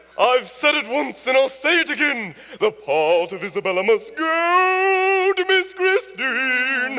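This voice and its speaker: A man in a put-on character voice, pitched extremely high, with very wide pitch swings and a theatrical tone. He speaks in a raised, projected voice at a fairly slow pace with hardly any pauses, over light background noise. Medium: stage play. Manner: theatrical, emphatic.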